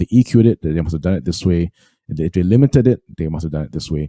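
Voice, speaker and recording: A man's very deep, low voice with a dark, mellow tone and a Singaporean accent, dry and close with no echo. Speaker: music trainer. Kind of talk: webinar tutorial. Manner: halting, many fillers.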